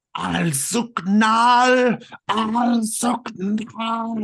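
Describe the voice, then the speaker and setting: Someone shouts in a fairly high-pitched, put-on character voice. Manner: screaming.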